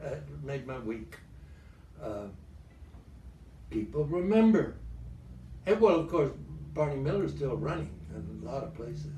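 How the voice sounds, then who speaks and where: A man's voice with big swings in loudness and long, frequent pauses, plus audible room echo. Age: 90s. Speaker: actor. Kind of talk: interview. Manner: halting.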